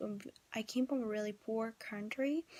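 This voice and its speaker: Fairly slow speech with a Vietnamese accent. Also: woman. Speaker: vlogger. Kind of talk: casual vlog talk. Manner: halting, many fillers.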